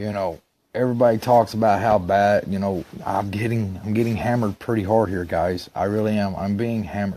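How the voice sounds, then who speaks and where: Speaking in an Alabama accent, a man with a dark, mellow tone and fairly low pitch talks at a fairly quick pace with fairly even intonation. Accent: Southern US (Alabama). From Alabama, Gadsden (US South). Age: 30s. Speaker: stepson of an accuser. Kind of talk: monologue to camera.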